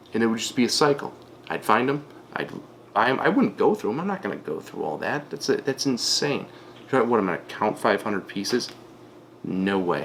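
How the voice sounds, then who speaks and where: Speaking at a fairly quick pace with long, frequent pauses, a man keeps a medium pitch that swings very widely. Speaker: online reseller. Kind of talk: tutorial. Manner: casual.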